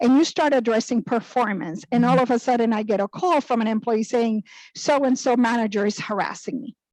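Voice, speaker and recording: Talking at a fairly quick pace, a woman with a Spanish accent uses a fairly high pitch and ordinary pitch variation. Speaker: human resources director. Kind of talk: panel discussion.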